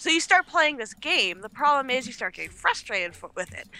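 A woman talks in a high, raised and projected voice with a bright, sharp tone. Her pitch swings very widely, and her pace is fairly quick. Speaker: esports organization owner. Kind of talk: casual livestream chat.

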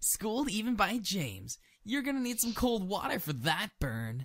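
At a moderate pace, a man talks with high pitch and very wide pitch swings. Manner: cheerful, excitable.

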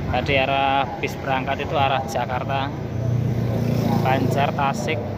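A man talks at a fairly slow pace, his dry sound carrying no echo over loud background noise. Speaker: bus enthusiast vlogger. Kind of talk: casual vlog commentary. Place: street. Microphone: phone near.

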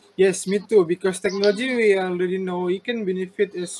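A man's high-pitched voice with fairly even intonation and light background noise. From Malaysia, Sabah. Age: 30s. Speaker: university student interviewer. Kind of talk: class assignment interview. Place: home room. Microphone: video call.

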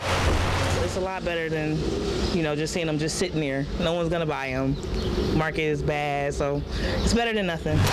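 Amid loud background noise, a woman talks at a moderate pace. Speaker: neighborhood resident. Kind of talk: street interview answer. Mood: relieved, mildly upbeat. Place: street.

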